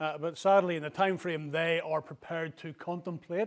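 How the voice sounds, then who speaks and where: Recorded very cleanly with a silent background, a man speaks at a moderate pace in a high pitch with fairly even intonation. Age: 60s. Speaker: investment strategist giving a plenary lecture. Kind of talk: lecture. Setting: conference hall with audience.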